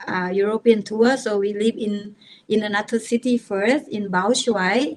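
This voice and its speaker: Using ordinary pitch variation, a speaker with a Thai accent talks at a fairly slow pace. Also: woman, fairly high pitch for a woman. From Thailand, rural village. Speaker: techno DJ and producer. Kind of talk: podcast interview. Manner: halting.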